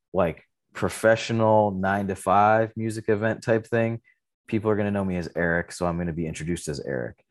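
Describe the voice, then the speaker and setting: A man's fairly low-pitched, fairly even delivery at a moderate pace, an ordinary speaking voice against a quiet background. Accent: American. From Michigan, Detroit area. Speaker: artist manager and indie label owner. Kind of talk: casual chat.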